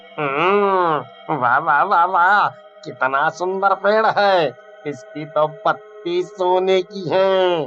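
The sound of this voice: In a cartoonish character voice at middle pitch, the speaker goes at a very slow pace while clear music plays in the background.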